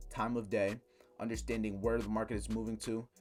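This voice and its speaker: A man at medium pitch, very fast, with vocal fry. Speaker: trading educator. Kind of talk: tutorial.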